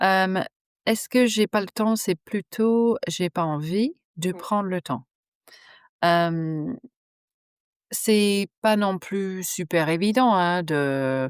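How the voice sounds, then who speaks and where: A woman with a New Zealand accent at a medium pitch, very slow, with long, frequent pauses and ordinary pitch variation, in a very clean, dry, close recording with no echo and a silent background. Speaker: digital strategy consultant. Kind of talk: podcast interview answer. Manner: frank, outspoken.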